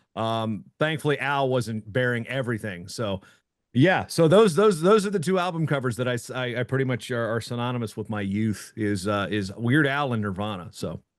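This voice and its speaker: A man with an American accent speaks in a normal speaking voice, medium in pitch, at a moderate pace with lively intonation. The background is quiet. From Virginia, Hampton Roads area. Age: 40s. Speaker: wrestling journalist and announcer. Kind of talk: casual podcast chat.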